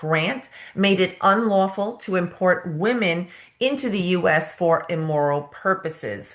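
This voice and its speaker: A woman speaks at a medium pitch with ordinary pitch variation and a strong New York accent. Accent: thick New York. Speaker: nurse practitioner and nursing educator. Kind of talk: presentation.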